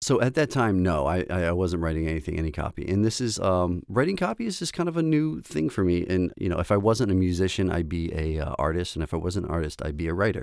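A man's very deep, low voice with an American accent, very fast and with hardly any pauses, his pitch varying in an ordinary way. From US, Baltimore, Maryland. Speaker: composer and audio engineer. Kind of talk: interview conversation.

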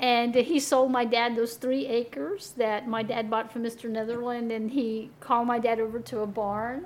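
At a moderate pace and with hardly any pauses, a woman speaks in a fairly high pitch with ordinary pitch variation. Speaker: radio show host. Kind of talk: radio interview. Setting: radio studio. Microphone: new microphone.

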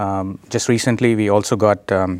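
The recording is very clean with a silent background, and a man speaks at a fairly low pitch. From India. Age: young. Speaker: tech company CEO. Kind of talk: interview. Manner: halting, many fillers.

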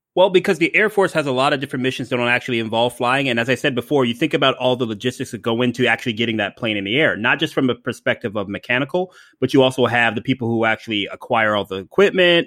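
A man with an American accent and medium pitch talks very fast. His intonation is lively and he leaves hardly any pauses. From Ohio, US Midwest. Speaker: podcaster and Amazon seller. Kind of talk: casual chat.

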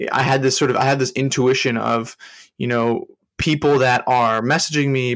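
This man has a normal speaking voice at a medium pitch with ordinary pitch variation. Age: 20s. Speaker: LinkedIn strategist and entrepreneur coach. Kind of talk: interview. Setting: remote call.

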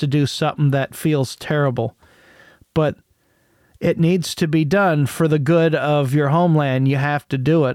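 A man with a fairly high pitch talks at a moderate pace with fairly even intonation. The recording is very clean with a silent background, and the sound is dry and close with no echo. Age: 30s. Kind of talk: casual monologue. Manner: halting.

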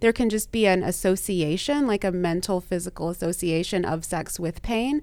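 A woman talks in an ordinary speaking voice with a medium pitch, a moderate pace and ordinary pitch variation. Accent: American. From US South (Texas and Louisiana). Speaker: sex and relationship therapist. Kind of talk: interview conversation.

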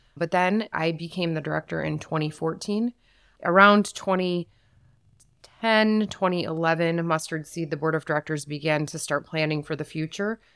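In an American accent, a woman with an unremarkable speaking voice talks at a moderate pace with a fairly low pitch and fairly even intonation, on a very clean recording with a silent background. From Saginaw, Michigan. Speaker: shelter executive director. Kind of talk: casual interview.

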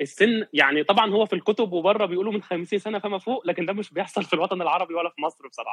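The speech moves at a very fast pace with ordinary pitch variation. The sound is dry and close, with no echo. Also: man. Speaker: physiotherapist. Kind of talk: casual interview.

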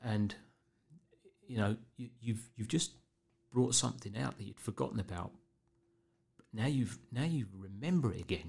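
Speaking with a southern English accent, a man at a medium pitch uses lively intonation, vocal fry, big swings in loudness and long, frequent pauses at a moderate pace. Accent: English, southern England. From Berkshire, England. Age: 50s. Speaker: police officer.

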